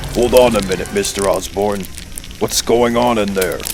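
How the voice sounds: Over clear background noise, a man puts on a cartoonish character voice at medium pitch and a moderate pace.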